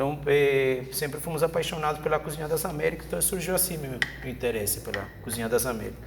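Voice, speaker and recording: This man talks at a very fast pace, fairly high in pitch with ordinary variation. Background noise is noticeable, and the room echo is audible. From Venezuela. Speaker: chef and cooking professor. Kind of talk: cooking demonstration with casual chat. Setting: video podcast studio with cooking set.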